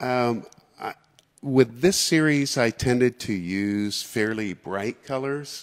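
Speaking at a very slow pace, a man uses ordinary pitch variation over a quiet background. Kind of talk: casual talk about his artwork. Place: hall. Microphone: handheld.

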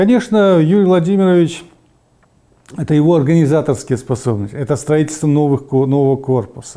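This man has a fairly high pitch, a dark, mellow tone and ordinary pitch variation. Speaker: medical expert. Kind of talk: interview. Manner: halting.

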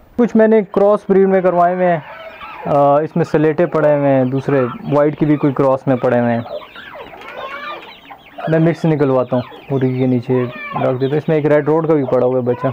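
With fairly even intonation, a man talks at a fairly quick pace in a fairly high voice.

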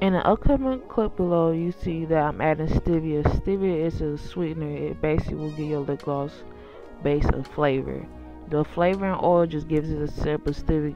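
A woman talks at a fairly quick pace. Music can be heard behind her. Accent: American. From Milwaukee, Wisconsin. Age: 20s. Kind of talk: voiceover for a makeup tutorial.

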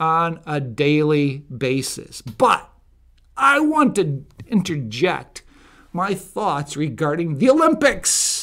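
In a raised, projected voice, a man speaks very slowly with a bright, sharp tone and very wide pitch swings. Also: quiet background. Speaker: political commentator. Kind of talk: opinion monologue commentary. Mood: indignant, opinionated. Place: studio. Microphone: studio mic.

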